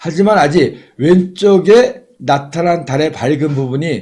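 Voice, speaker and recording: Lively intonation shapes a somewhat breathy voice. The tone is dark and mellow. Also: man. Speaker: astronomy livestream commentator. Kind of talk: live commentary.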